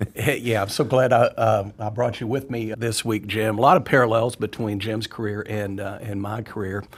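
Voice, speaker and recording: On a very clean recording with a silent background, a man speaks at a fairly low pitch, somewhat breathy, with fairly even intonation. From Arkansas. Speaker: freight carrier executive. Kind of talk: casual chat.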